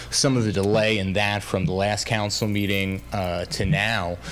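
A man's normal speaking voice, fairly low-pitched, at a moderate pace with ordinary pitch variation over light background noise. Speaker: council presenter. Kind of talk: public meeting briefing. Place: hall. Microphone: podium.

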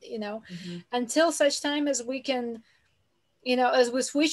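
Quiet background around a woman's voice. Her pitch is high, with ordinary variation. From Ukraine. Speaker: workshop attendee. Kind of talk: Q&A question. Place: home room. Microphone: video call.

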